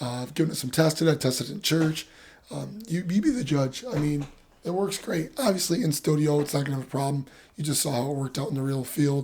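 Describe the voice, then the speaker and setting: Background noise is noticeable throughout. The delivery is very rapid. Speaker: camera reviewer. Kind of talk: product review. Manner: casual, hesitant with fillers.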